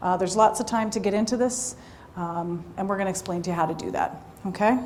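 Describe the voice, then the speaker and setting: A woman speaks at a very fast pace and medium pitch with ordinary pitch variation, over noticeable background noise and audible room echo. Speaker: police recruiter. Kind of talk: information session presentation. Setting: room with live audience. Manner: loud.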